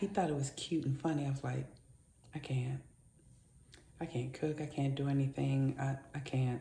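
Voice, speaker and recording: A woman's somewhat breathy, dark, mellow voice with a very deep, low pitch, fairly even intonation and a moderate pace. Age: 50s. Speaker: lifestyle vlogger. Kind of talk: casual vlog monologue. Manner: speaking low; halting.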